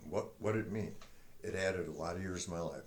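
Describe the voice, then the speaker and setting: A man speaks at a moderate pace in a very deep, low pitch. His intonation is fairly even, and the room echo is audible. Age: 70s. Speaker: retired military veteran and senior powerlifter. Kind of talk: casual talk to camera.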